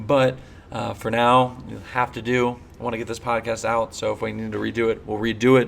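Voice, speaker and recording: Monotone, flat delivery over noticeable background noise. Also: man, medium pitch for a man. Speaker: podcast host and swimmer. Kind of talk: casual solo podcast commentary. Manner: conversational, many fillers.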